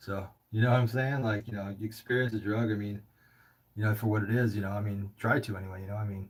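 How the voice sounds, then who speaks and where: A man with an American accent speaks very fast in a fairly low, somewhat breathy voice with fairly even intonation. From California. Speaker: livestream host taking calls. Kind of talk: casual call-in chat. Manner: casual, halting with filler words.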